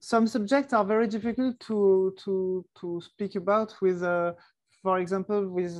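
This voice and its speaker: A woman with a French accent, medium in pitch and fairly even in intonation. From southern France (Ardèche). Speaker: archer and musician. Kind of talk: podcast interview. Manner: halting, many repetitions.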